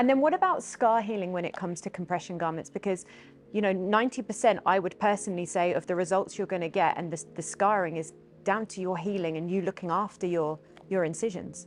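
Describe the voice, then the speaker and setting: A woman talks at a very fast pace over music in the background. Her pitch is medium, with ordinary variation. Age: 40s. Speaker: social media influencer and former model. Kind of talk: podcast interview.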